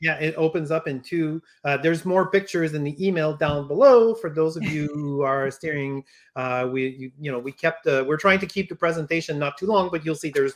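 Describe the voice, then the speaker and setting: A man with a French accent, fairly high pitch, ordinary pitch variation and a fairly quick pace. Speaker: toy company representative. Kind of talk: product unveiling discussion. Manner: halting, many fillers.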